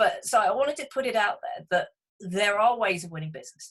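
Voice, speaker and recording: A woman with a British accent talks at a fairly quick pace. Her voice is somewhat breathy, with lively intonation. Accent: British, described as cute. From England. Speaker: business coach for accountants. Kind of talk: webinar presentation. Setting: online webinar.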